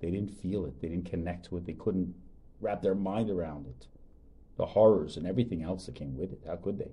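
A man with a very deep, low pitch and a dark, mellow tone talks at a fairly quick pace, with vocal fry and ordinary pitch variation. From Long Island, New York. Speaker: rabbi and podcast host. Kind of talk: casual chat.

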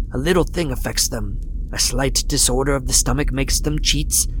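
Someone puts on a character voice over clear background noise. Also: man. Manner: caustic and cold, scoffing, then terrified.

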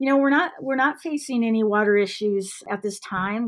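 In an American accent, a woman speaks at a moderate pace. Her pitch is fairly high, and she has an ordinary speaking voice. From US Midwest, Iowa. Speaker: ski resort executive. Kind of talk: interview.

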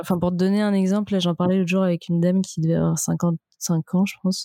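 Speaking fairly quickly in a medium-pitched, dark, mellow voice, a woman keeps a monotone, flat delivery in a dry, close recording with no echo. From Brittany, France (Vannes). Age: 20s. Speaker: entrepreneur, sex toy brand founder. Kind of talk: casual interview.

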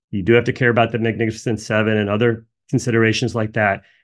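An unremarkable speaking voice with an American accent moves at a fairly quick pace over a quiet background. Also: man. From US Northeast, New Jersey. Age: 50s. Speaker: energy sector analyst. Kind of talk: casual personal aside; solo video presentation.

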